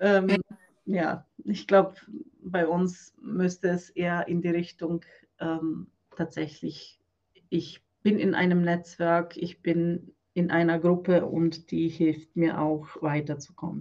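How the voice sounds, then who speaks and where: A woman with a Croatian accent speaks very slowly at a fairly low pitch. Her intonation stays flat and monotone. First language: Croatian (speaking German). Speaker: business coach for women, former nun. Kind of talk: interview.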